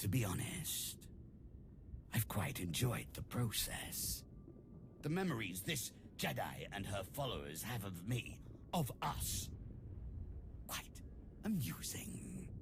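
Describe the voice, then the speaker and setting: Over loud background noise, a man uses a put-on character voice, fairly low in pitch, talking fairly slowly with long, frequent pauses. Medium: video game. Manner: cold, condescending.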